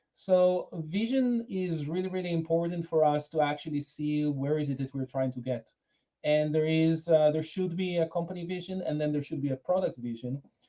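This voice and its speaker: A man with an Israeli accent speaks at a moderate pace in a fairly high, dark, mellow voice with ordinary pitch variation. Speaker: product manager. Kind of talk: conference talk. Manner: hesitant, many fillers.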